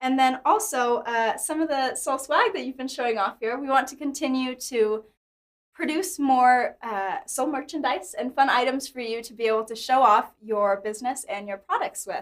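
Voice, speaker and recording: A woman with a high voice uses lively intonation and big swings in loudness. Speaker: company staff presenting marketing tools. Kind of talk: live-streamed company presentation. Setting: studio. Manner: fast.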